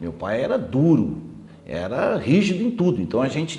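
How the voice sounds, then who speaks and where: A dark, mellow voice with vocal fry moves at a moderate pace amid audible room echo. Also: man. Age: 60s. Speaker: TV host. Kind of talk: interview.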